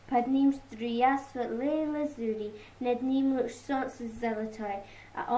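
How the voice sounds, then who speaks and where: A woman's high, dark, mellow voice at a very slow pace, with fairly even intonation. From Scotland. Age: young. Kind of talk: poetry reading.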